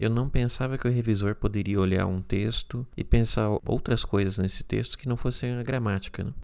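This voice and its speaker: This man has an ordinary speaking voice at a medium pitch, with fairly even intonation. He keeps a moderate pace with hardly any pauses. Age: 30s. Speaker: podcast host. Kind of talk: solo podcast monologue.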